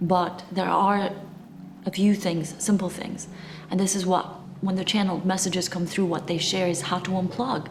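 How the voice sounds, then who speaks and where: Speech at a moderate pace comes through with audible room echo and noticeable background noise. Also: woman. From Eastern Europe (former communist country). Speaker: spiritual channeler. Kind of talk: spiritual talk to camera. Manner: animated.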